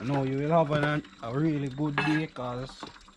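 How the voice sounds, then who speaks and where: A man with a Jamaican accent talks at a fairly high pitch with ordinary pitch variation amid noticeable background noise. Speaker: vlogger. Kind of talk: casual cooking vlog.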